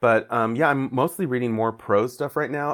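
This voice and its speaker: On a very clean recording with a silent background, a man with an American accent uses an ordinary speaking voice at a medium pitch with fairly even intonation. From Mexican American, US. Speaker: comic book writer. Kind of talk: interview.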